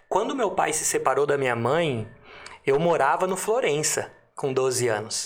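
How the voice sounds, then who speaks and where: Noticeable background noise behind a man with a fairly high pitch, lively intonation and a fairly slow pace. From Limeira, São Paulo state, Brazil. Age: 30s. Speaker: entrepreneur. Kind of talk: casual interview chat.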